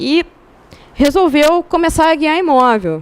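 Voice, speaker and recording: A woman's high voice proceeds at a fairly slow pace. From Rio de Janeiro. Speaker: rock climber. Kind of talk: talk to a club audience. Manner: casual.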